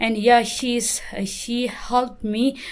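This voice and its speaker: A woman speaks in a Tibetan accent at a fairly high pitch. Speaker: Buddhist nun and vlogger. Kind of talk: vlog introduction. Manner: halting, many fillers.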